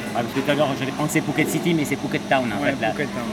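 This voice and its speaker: A man talking at a very fast pace with ordinary pitch variation, audible room echo and music in the background. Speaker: podcast host. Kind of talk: interview. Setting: seafront bar in Phuket.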